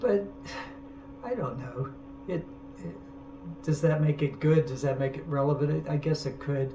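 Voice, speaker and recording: A man speaks at a moderate pace with a fairly high pitch and ordinary pitch variation. Long, frequent pauses break up his speech, and there is noticeable background noise. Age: 70s. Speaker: artist. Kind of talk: casual monologue. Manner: halting.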